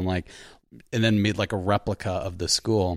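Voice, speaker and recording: On a very clean recording with a silent background, a man with an unremarkable speaking voice talks at a moderate pace in a fairly low pitch. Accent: American. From Long Island, New York. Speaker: writer and director. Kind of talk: casual chat.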